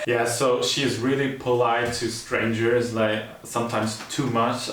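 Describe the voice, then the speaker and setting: A man with a German accent talks at a very slow pace in a medium pitch, his intonation monotone and flat. Audible room echo and noticeable background noise surround him. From Germany. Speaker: YouTuber in couple channel. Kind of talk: casual chat.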